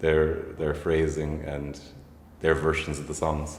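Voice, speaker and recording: A man with an Irish accent talks at a fairly slow pace in a very deep, low voice that is somewhat breathy. His intonation is monotone and flat, and there is audible echo in the room. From County Waterford, Ireland. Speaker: folk musician. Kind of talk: casual chat.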